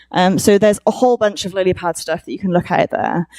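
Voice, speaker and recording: The sound is dry and close with no echo, and the speaker has a Welsh accent. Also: woman. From Wales. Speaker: conference speaker. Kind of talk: conference talk. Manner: hesitant, many fillers.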